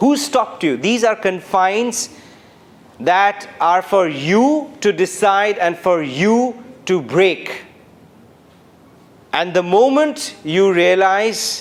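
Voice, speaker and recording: Over noticeable background noise, the speaker talks with a Bengali accent at a very slow pace, with lively intonation, very even loudness and long, frequent pauses. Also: man, high pitch for a man. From India, Calcutta. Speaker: former journalist, keynote speaker. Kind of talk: keynote speech. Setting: university auditorium with audience.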